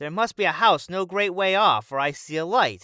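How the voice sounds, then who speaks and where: A man's put-on character voice, high-pitched, at a moderate pace. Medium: read story.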